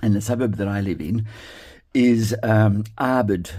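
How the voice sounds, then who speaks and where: A dark, mellow tone with an Australian accent. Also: man. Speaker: card-making crafter. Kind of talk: tutorial. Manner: casual with many fillers; mumbles to himself at times.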